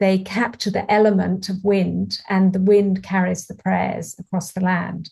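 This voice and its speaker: A woman with a British accent speaks at a fairly slow pace in a somewhat breathy, medium-pitched voice with monotone, flat intonation. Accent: English (UK). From England. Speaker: author. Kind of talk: interview conversation.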